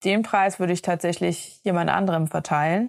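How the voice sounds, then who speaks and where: The voice is a plain, everyday voice with fairly even intonation. The sound is dry and close, with no echo. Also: woman. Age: 30s. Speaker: sailing podcast co-host. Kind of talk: casual chat.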